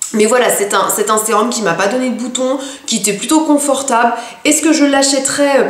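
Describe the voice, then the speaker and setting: A woman talks at a moderate pace in a high voice with ordinary pitch variation. The room echo is audible, and there is noticeable background noise. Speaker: beauty vlogger. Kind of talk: product review vlog. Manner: hesitant, many fillers.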